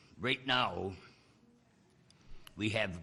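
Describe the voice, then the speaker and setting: In a room with audible echo, a man talks very slowly in a very deep, low pitch with a bright, sharp tone. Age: 80s+. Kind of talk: public testimony. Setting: legislative committee hearing.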